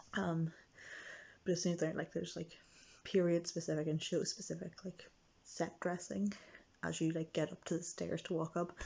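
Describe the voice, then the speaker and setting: A quiet woman's voice, fairly low in pitch, at a moderate pace. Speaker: vlogger. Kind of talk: casual vlog. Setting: friend's house at night. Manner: hesitant with many fillers.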